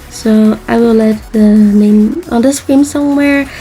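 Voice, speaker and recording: Noticeable background noise accompanies a speaker with a non-native accent. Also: woman. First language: not English. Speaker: artist, video creator. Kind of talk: voiceover narration of drawing process.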